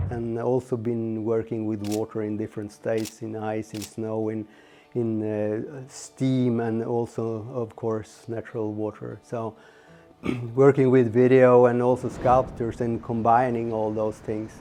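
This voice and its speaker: A man talks at a fairly slow pace in a medium pitch, his intonation flat and monotone, with music playing in the background. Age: 60s. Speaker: artist and lure inventor. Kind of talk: casual interview monologue. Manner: halting, with fillers.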